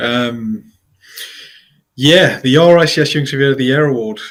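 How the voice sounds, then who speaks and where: A man with a Geordie accent, medium-pitched, at a moderate pace with ordinary pitch variation and long, frequent pauses. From northeast England, Newcastle (Geordie). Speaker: construction consultancy founder, quantity surveyor. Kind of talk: podcast interview. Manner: hesitant, many fillers.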